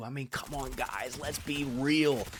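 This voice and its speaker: Soft-spoken, a man talks at a moderate pace. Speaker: gaming YouTuber. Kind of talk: casual gameplay commentary. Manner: hesitant fillers.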